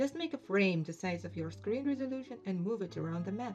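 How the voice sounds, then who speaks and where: Music plays in the background while someone speaks with a non-native accent. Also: woman. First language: non-native English speaker. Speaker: indie game developer. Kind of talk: casual talk over screen recording.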